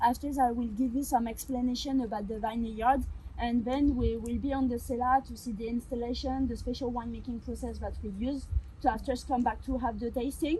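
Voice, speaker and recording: A woman's high voice in a strong French accent, fairly quick and flat in a monotone, with audible room echo and noticeable background noise. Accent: heavy French. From France. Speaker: winery tour guide. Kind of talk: guided tour. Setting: winery cellar. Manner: fast.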